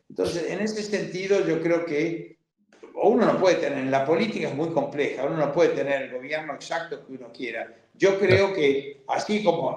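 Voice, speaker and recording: A man talks in a high-pitched voice with lively intonation. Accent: Argentine. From Argentina, Buenos Aires. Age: 70s. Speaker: liberal thinker and activist. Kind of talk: interview conversation.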